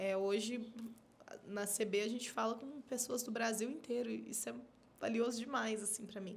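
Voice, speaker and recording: At a moderate pace, a woman talks in a fairly high pitch. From Minas Gerais, Brazil (born in São Paulo). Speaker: podcast host. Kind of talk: casual chat.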